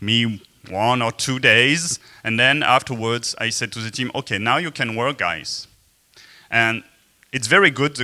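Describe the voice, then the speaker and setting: Dry and close with no echo, a man with a slight French accent speaks at a medium pitch in a bright, sharp tone at a fairly slow pace. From France. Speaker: software developer and conference speaker. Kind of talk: conference talk. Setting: stage with audience. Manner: hesitant, many filler sounds. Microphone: speaking without the mic.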